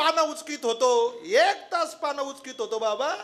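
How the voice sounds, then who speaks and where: The voice is raised and projected, with a bright, sharp tone. It sounds animated, with lively intonation. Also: man. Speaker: kirtan preacher. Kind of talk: sermon.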